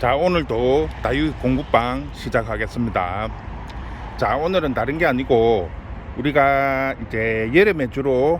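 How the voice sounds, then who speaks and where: In a Gyeongsang accent, a man speaks at a very slow pace and a medium pitch with lively intonation. Noticeable background noise runs under his voice. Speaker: succulent nursery owner. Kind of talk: tutorial. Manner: casual.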